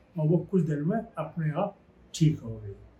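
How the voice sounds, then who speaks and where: A man's voice, high in pitch, has a dark, mellow tone and ordinary pitch variation. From Uttar Pradesh, India. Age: 80s+. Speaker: devotee sharing experience. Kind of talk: testimony.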